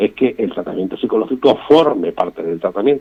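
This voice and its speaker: With an ordinary speaking voice and ordinary pitch variation, a man talks at a fairly quick pace. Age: 60s. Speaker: patient association representative. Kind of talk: radio interview.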